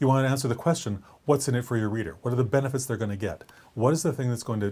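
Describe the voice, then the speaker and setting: A man talks at a very fast pace with a medium pitch. His voice is somewhat breathy. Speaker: writing coach. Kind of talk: vlog-style talk to camera. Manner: animated.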